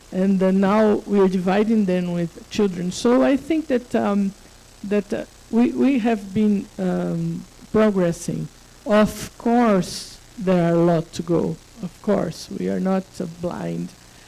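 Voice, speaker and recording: Against noticeable background noise, a woman speaks very slowly with lively intonation. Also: medium pitch for a woman. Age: 60s. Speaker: conference panelist. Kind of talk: panel discussion.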